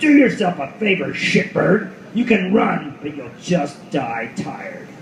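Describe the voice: Putting on a character voice, a man speaks slowly in a fairly high pitch with big pitch swings and vocal fry, over faint background noise.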